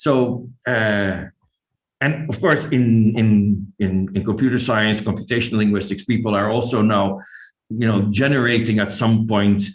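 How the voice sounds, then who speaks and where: A man with a Dutch accent and fairly low pitch speaks at a fairly slow pace amid audible room echo. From Netherlands. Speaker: linguistics professor. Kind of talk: lecture. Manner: hesitant, many fillers.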